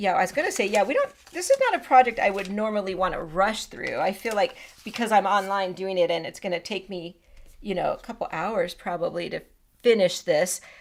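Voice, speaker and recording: Her pitch medium and its variation ordinary, a woman speaks at a fairly quick pace. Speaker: scrapbooking demonstrator. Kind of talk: live stream tutorial. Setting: live stream, standing. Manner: fast; casual, chatty.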